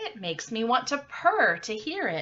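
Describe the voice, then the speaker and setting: With very wide pitch swings, a woman does a put-on character voice pitched fairly high. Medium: read story. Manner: smooth, courtly.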